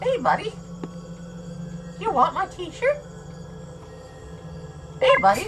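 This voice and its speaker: Clear background noise accompanies a put-on character voice that moves at a fairly slow pace with long, frequent pauses. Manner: cheerful, cartoonish.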